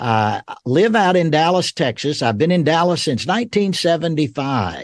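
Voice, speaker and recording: A man talks at a moderate pace with lively intonation in a Southern US accent. The sound is dry and close with no echo, and the background is quiet. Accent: Southern American. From US South, Georgia (Rome). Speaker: theology professor. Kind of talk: interview.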